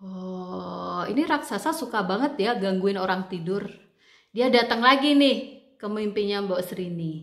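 Against a quiet background, a woman talks at a fairly slow pace with lively intonation. Some room echo is audible. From Indonesia. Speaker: book club channel host and storyteller; storyteller. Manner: chatty, drawn-out rhetorical questions to the audience; animated and expressive, with exclamations like aduh and wah. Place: home room. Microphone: earbuds.

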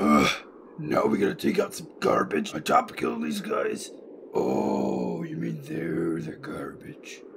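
A man at a fairly slow pace, with big swings in loudness and clear background noise. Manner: whiny, slow.

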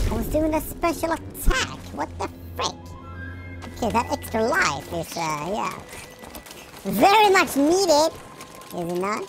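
Speech at a moderate pace runs over clear music in the background. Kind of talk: let's-play commentary. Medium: game stream. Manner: energetic, silly.

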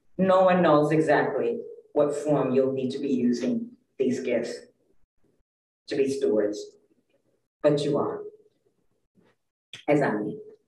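A woman speaking at a fairly slow pace with long, frequent pauses, in audible room echo. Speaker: lay preacher. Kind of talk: sermon. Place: church.

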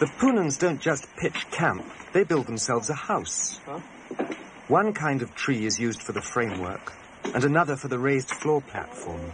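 A man with a fairly high pitch and very wide pitch swings speaks at a moderate pace amid noticeable background noise. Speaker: documentary filmmaker and narrator. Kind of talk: 1988 documentary narration, scripted voice-over. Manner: measured, reflective, wry.

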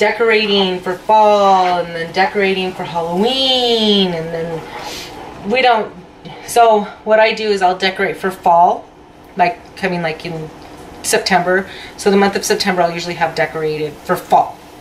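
At a moderate pace, a woman talks with ordinary pitch variation over light background noise. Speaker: home cooking vlogger. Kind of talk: casual vlog chat. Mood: cheerful, animated. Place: kitchen. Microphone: phone near.

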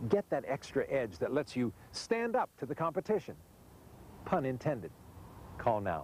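Long, frequent pauses break up this man's speech. His fairly high pitch has vocal fry and very wide pitch swings. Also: moderate pace. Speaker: commercial narrator. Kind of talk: TV infomercial product pitch.

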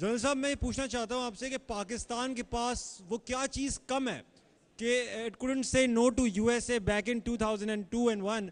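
A man's extremely high voice with fairly even intonation at a fairly slow pace. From Pakistan. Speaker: moderator. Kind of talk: question and answer session. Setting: audience event. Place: hall. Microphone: handheld.

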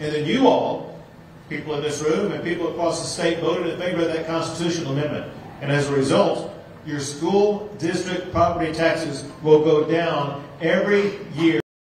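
A man's high-pitched voice at a moderate pace with fairly even intonation, plus audible room echo and light background noise. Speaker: politician addressing seniors. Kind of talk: campaign speech. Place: hall.

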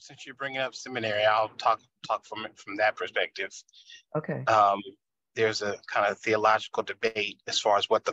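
Speaking at a moderate pace, a man with a fairly low pitch has a bright, sharp tone, recorded dry with no echo against a quiet background. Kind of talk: discussion contribution, theological explanation. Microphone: video call.

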